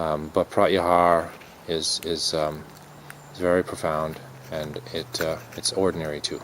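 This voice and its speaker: Amid noticeable background noise, a man mumbles at a fairly slow pace in a very deep, low pitch with monotone, flat intonation and long, frequent pauses. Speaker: yoga and dharma teacher. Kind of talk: dharma talk. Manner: mumbling; halting, many fillers.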